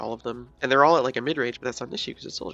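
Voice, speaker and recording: Quietly, a man speaks at a medium pitch. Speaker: esports commentary narrator. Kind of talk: casual gameplay analysis commentary.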